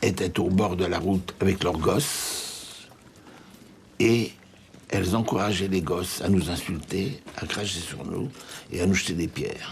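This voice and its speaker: A man's very deep, low voice with audible room echo and noticeable background noise. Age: 80s+. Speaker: Holocaust survivor. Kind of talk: testimony.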